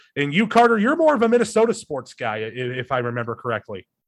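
A man with an American accent, at a fairly quick pace with fairly even intonation. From Iowa, US Midwest. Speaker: radio sports director and podcast host. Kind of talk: casual chat. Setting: video call.

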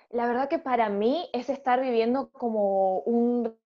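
This woman's intonation is fairly even. She talks at a fairly high pitch. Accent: Argentine. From Argentina. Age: 30s. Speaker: educational psychologist and parish ministry leader. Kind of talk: faith discussion podcast.

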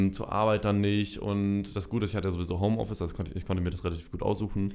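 A man's fairly low voice at a very fast pace with fairly even intonation. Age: 20s. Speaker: social media marketer. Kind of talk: casual chat. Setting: studio.

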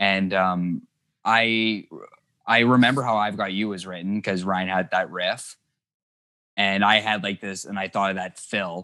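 In a Canadian accent, a man speaks at a fairly slow pace with long, frequent pauses, a fairly low pitch, a bright, sharp tone and monotone, flat intonation. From Thunder Bay, northern Ontario, Canada. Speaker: indie rock guitarist. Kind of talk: casual interview chat.

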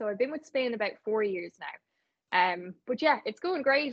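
The pace stays moderate. It is a woman speaking in an Irish accent. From Ireland, Navan. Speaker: radio presenter. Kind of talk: interview. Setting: remote call.

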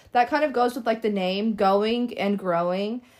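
Over a silent background on a very clean recording, a woman with a normal speaking voice talks at a fairly quick pace with ordinary pitch variation. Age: 20s. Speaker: podcast co-host, college student. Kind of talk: casual chat. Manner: frequent filler words.

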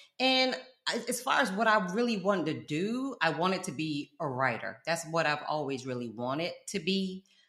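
An animated woman speaks at a fairly low pitch with very wide pitch swings. Her tone is bright and sharp. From London, then South Florida. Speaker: college professor and content creator. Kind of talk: casual interview.

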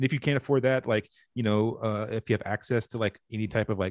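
Over a quiet background, a man with an American accent speaks at a fairly quick pace in an ordinary speaking voice. His pitch is fairly low, and the sound is dry and close with no echo. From US South, rural North Carolina. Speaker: TV and comic book writer. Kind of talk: casual interview chat.

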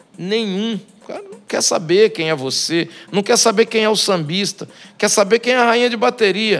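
A man with a high pitch, ordinary pitch variation and a moderate pace, with music in the background. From Brazil, Espírito Santo. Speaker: samba composer and singer. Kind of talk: casual chat. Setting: bar.

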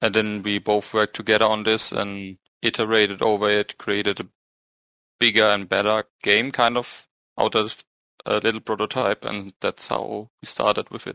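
This man has a fairly low pitch and a bright, sharp tone, with monotone, flat intonation at a moderate pace. The sound is dry and close with no echo, and the background is quiet. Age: 20s. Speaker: game developer. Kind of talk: interview.

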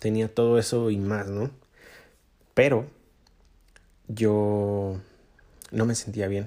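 In a Mexican accent, a man speaks with monotone, flat intonation in a dark, mellow tone at a fairly low pitch. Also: very clean recording, silent background. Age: 20s. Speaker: podcast host. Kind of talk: personal monologue. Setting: home recording in his bedroom. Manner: halting.

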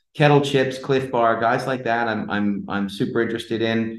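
A man with an ordinary speaking voice talks at a fairly quick pace. His pitch is medium. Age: 40s. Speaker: entrepreneur. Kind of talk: casual chat.

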